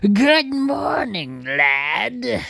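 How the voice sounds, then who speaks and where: A man puts on a character voice, pitched high and swinging very widely up and down. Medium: read story. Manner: gloating.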